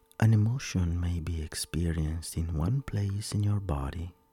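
Somewhat breathy, the voice has a gentle, soothing tone, a dark, mellow tone and ordinary pitch variation. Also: man. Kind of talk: guided meditation. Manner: slow, soothing and calm, with long pauses between instructions; soft-spoken, gentle and reassuring.

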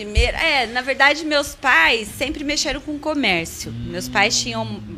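Music plays in the background as a woman speaks at a high pitch. Her pace is fairly slow. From interior of São Paulo state, Brazil. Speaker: franchise school co-owner. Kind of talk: casual interview chat. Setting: studio.

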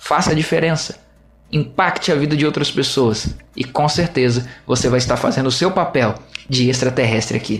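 The speaker talks at a moderate pace with an animated tone. Loudness stays very even, and the pitch varies in an ordinary way. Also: man, medium pitch for a man. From Minas Gerais, Brazil (Juiz de Fora). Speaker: pastor and podcast host. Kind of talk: solo podcast talk with sermon-like teaching.

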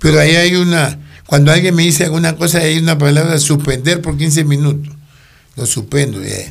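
With audible room echo, a man speaks somewhat breathily at a moderate pace, fairly high in pitch with fairly even intonation. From Ecuador, Guayaquil. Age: 60s. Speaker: actor, retired former police officer. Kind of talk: casual interview.

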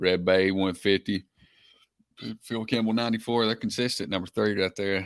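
With an Alabama accent, a man speaks at a moderate pace and fairly low pitch in monotone, flat intonation, leaving long, frequent pauses, captured in a very clean recording with a silent background. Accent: Alabama Southern US. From Alabama, Winston County. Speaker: high school football podcast co-host. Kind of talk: casual sports chat.

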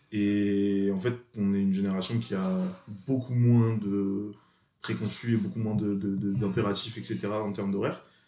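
Moderately paced, a man speaks with a fairly low pitch and a dark, mellow tone. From France, Grenoble. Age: 20s. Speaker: exchange student. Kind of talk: casual chat.

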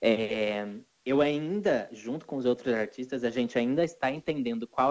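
A man speaks at a medium pitch with ordinary pitch variation. It is an unremarkable speaking voice. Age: 20s. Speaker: singer. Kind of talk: casual chat.

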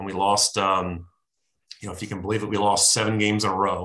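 Monotone, flat intonation comes in a bright, sharp tone with an American accent at a fairly quick pace. The background is quiet. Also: man. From New Jersey. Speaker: former NFL quarterback. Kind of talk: interview.

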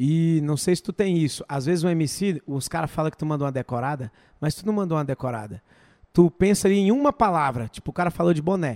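A man at a very fast pace and fairly high pitch, dry and close with no echo, on a very clean recording with a silent background. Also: ordinary pitch variation. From Brazil, Goiás/Brasília region. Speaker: podcast host. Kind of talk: casual chat. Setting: studio.

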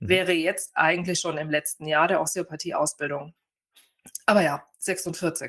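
A woman speaks in an ordinary speaking voice at a fairly low pitch and a moderate pace, with fairly even intonation. The sound is dry and close, with no echo. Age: 40s. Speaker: family lawyer retraining as osteopath. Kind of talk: interview conversation.

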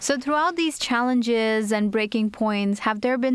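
In an ordinary speaking voice, a woman talks at a moderate pace with a fairly high pitch. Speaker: student podcast host. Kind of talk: casual interview.

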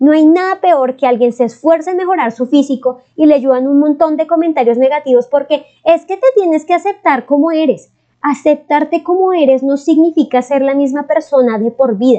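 This woman's voice sits high in pitch with a dark, mellow tone. Her pitch varies in an ordinary way. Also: moderate pace. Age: 20s. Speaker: podcast host. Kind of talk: casual advice talk. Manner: warm, affectionate.

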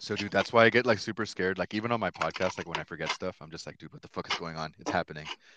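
Very fast and with hardly any pauses, a man with a very deep, low pitch speaks in a bright, sharp tone with big swings in loudness, in a dry, close sound with no echo. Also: ordinary pitch variation. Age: 30s. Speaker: podcast host. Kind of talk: casual chat.

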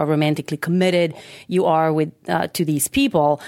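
With a Macedonian accent, a woman talks at a fairly quick pace in a fairly low pitch, her voice dry and close with no echo on a very clean recording with a silent background. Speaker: sex researcher, psychologist. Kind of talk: interview.

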